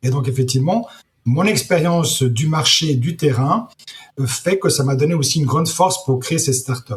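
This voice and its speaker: Somewhat breathy, a man with a fairly high pitch talks at a fairly quick pace with ordinary pitch variation. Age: 60s. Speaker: entrepreneur, startup founder. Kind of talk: interview. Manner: halting, many repetitions.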